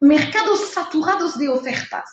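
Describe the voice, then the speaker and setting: A woman speaks at a very slow pace in a strong French accent, with very wide pitch swings. Audible room echo surrounds her voice. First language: French (speaking Spanish). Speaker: trade consultant / webinar instructor. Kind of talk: webinar lecture. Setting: online webinar.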